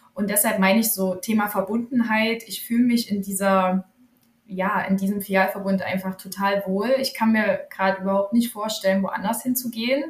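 With a plain, everyday voice, this woman has a medium pitch, a moderate pace and fairly even intonation. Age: 30s. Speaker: pharmacist and author. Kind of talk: podcast interview.

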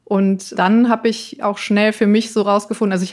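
Her pitch fairly high and her intonation monotone and flat, a woman speaks at a moderate pace on a very clean recording with a silent background. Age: 30s. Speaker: finance blogger. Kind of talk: interview.

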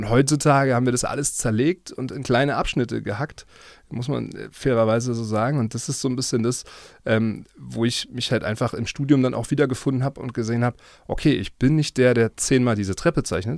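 Fairly quick and medium in pitch, a man's voice comes through a very clean recording with a silent background. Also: fairly even intonation. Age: 30s. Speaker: property developer. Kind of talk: interview. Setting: studio. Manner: hesitant, many fillers.

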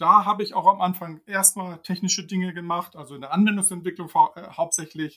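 A man with a high pitch and a bright, sharp tone talks at a fairly quick pace with hardly any pauses, his intonation fairly even but his loudness swinging widely. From Hamburg, northern Germany. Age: 50s. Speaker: team leader. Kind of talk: interview.

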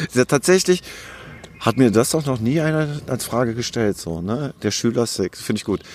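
A man's normal speaking voice at a medium pitch, with lively intonation and a moderate pace. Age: 40s. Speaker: former criminal turned YouTuber and author. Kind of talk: interview. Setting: outdoors in a park.

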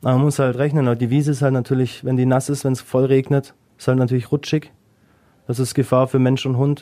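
A man's dark, mellow voice at medium pitch, very fast in pace, on a very clean recording with a silent background. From Swabia, Germany. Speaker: dog agility competitor. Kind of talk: casual interview.

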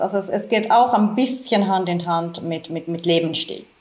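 A woman speaks at a moderate pace with medium pitch and ordinary pitch variation. Noticeable background noise runs behind her. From Finland. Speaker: physician. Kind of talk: interview. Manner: halting, many repetitions.

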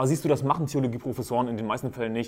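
A man's dark, mellow voice with fairly even intonation, in a very clean recording with a silent background. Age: 20s. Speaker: podcast host, lay preacher. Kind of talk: monologue, preaching style. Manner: emphatic.

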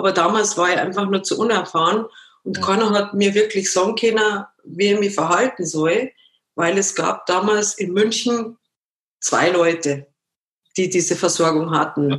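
At a moderate pace and with ordinary pitch variation, this voice carries a slight Bavarian accent and breaks often into long pauses. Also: woman, medium pitch for a woman. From Munich, Bavaria. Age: 50s. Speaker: former professional dancer, amputee. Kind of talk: interview.

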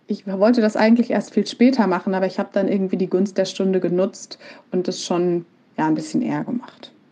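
At a fairly quick pace, a woman with an ordinary speaking voice talks at medium pitch with ordinary pitch variation. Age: 30s. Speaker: project manager. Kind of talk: pre-recorded personal testimony.

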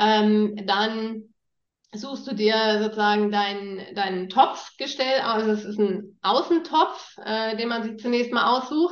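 A woman speaks very slowly in a fairly high pitch, with ordinary pitch variation. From northern Germany, near East Frisia. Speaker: startup founder. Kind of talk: interview. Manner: hesitant fillers.

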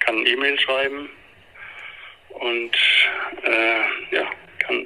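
A man talks while noticeable background noise carries on around his voice. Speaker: family counselor and author. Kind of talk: interview. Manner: halting with many fillers.

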